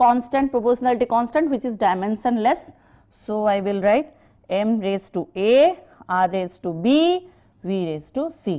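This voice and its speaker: Her tone is dark and mellow, and her intonation is lively. The woman keeps a moderate pace. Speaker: physics teacher. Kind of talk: lecture. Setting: online class.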